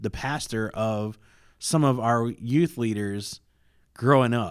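An unremarkable speaking voice holds fairly even intonation in a very clean recording with a silent background. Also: man. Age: 40s. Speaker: seminary student. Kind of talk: casual interview chat.

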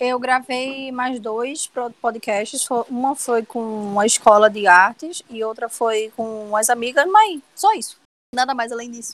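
A woman's high voice moves at a fairly slow pace, its pitch varying in an ordinary way. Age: 20s. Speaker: illustrator and web comic artist. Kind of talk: casual interview chat.

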